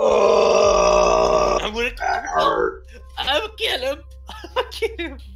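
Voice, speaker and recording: Over clear background noise and a strong echo, a man mumbles in a put-on character voice at a very slow pace, with long, frequent pauses. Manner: mumbling, angry; muttered threat.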